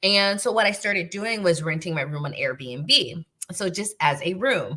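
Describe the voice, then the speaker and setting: A woman with an American accent speaks in a bright, sharp tone with ordinary pitch variation. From United States. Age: 40s. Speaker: real estate investor and YouTuber. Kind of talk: livestream chat to viewers. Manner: casual, filler-heavy.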